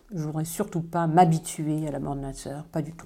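Dark and mellow in tone, the voice moves at a moderate pace with fairly even intonation in a very clean recording with a silent background. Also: woman. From southwest France. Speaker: calligrapher. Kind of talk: interview.

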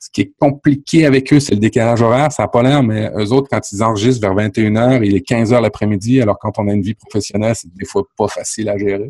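A man with a Quebec accent speaks at medium pitch with hardly any pauses. The sound is dry and close with no echo. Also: ordinary pitch variation. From France. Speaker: podcaster. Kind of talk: casual chat.

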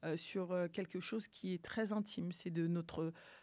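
Over a silent background in a very clean recording, a woman speaks at a medium pitch. Her tone is dark and mellow, her pace moderate and her intonation fairly even. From France, born in Mali. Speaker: activist, association president. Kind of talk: interview.

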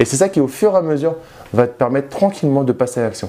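A man in an animated tone, fairly high in pitch, at a very fast pace with very wide pitch swings. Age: 30s. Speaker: youtuber, former banker, property investor. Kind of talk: vlog monologue to camera. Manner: casual, animated.

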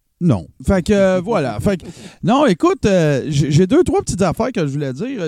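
With very wide pitch swings, a man speaks at a high pitch and a fairly slow pace in a dark, mellow tone. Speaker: columnist. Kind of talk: casual chat.

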